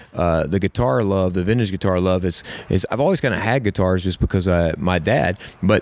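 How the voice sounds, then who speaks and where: A man with a Southern US accent talks at a fairly quick pace in a very deep, low pitch, with ordinary pitch variation and very even loudness. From US South, South Carolina (Camden). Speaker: songwriter and musician. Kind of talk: casual interview. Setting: in person at a hotel. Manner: hesitant, many fillers.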